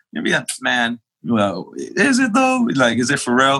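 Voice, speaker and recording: A man's bright, sharp voice with an American accent over a quiet background. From New York (Queens). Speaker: pastor. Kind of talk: testimony.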